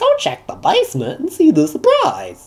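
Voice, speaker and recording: At a moderate pace, a man performs a put-on character voice. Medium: read story. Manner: quiet, strange.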